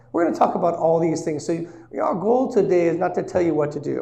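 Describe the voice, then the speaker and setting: Audible room echo surrounds the voice. A man speaks with a high pitch and a dark, mellow tone. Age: 60s. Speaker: senior living and real estate seminar presenter. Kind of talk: seminar presentation. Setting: live seminar with audience.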